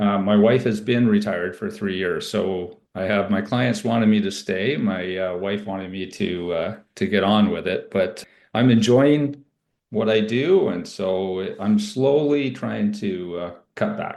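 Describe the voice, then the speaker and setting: This man has a Canadian accent and a normal speaking voice. His pitch is fairly low with ordinary variation, and he speaks at a fairly slow pace. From Ontario, Canada. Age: 60s. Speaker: cancer survivor, IT professional. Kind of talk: interview testimony. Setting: podcast. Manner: casual, with fillers.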